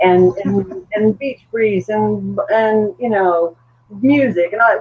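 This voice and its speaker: In an unremarkable speaking voice, a woman talks at a medium pitch with lively intonation. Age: 60s. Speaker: weight loss surgery patient. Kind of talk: podcast panel discussion.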